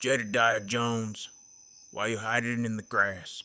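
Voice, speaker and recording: A man puts on a character voice with a Western US accent, pitched in a medium range. He keeps a moderate pace and a monotone, flat intonation. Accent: rural Old West. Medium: read story.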